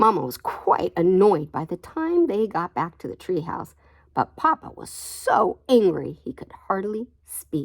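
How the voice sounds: A natural reading voice carries the words.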